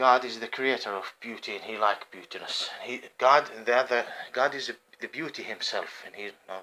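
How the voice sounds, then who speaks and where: The speaker has an Arabic accent and a moderate pace. The loudness swings widely. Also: man, medium pitch for a man. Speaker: homeless vlogger. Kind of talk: rambling monologue vlog. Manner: halting.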